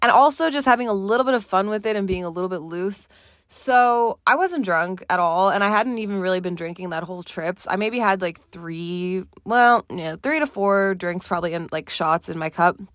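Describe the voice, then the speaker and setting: In a very clean recording with a silent background, a woman speaks at a moderate pace in an ordinary speaking voice, medium in pitch with ordinary pitch variation. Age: 20s. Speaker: podcast host. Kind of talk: casual solo monologue. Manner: casual, filler-heavy.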